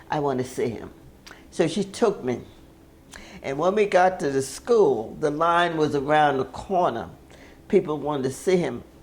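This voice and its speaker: A woman with an American accent speaks in a very deep, low pitch with lively intonation. Her pace is moderate, broken by long, frequent pauses. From James Island, South Carolina. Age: 80s+. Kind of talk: interview answer.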